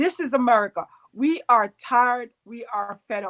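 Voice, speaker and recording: A woman's high-pitched voice with ordinary pitch variation and a dry, close sound with no echo. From Jamaica. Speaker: home care worker and organizer. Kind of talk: interview answer. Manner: impassioned.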